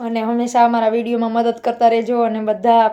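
Here a woman talks at a fairly high pitch. Her tone is dark and mellow. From Gujarat, Amreli side. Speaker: homemaker vlogger. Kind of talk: casual vlog talk. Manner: talkative, playful.

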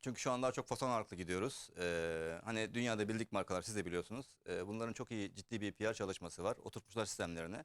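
A man talks at a very fast pace with hardly any pauses, his pitch fairly low and its variation ordinary. The recording is very clean, with a silent background. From Germany. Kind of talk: casual interview.

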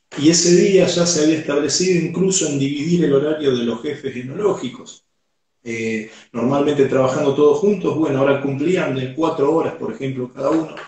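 Speaking at a fairly quick pace, a man with a fairly high pitch and a dark, mellow, somewhat breathy tone shows ordinary pitch variation, with audible room echo and a quiet background. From Argentina. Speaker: sommelier; guest. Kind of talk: interview. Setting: video call. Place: home room.

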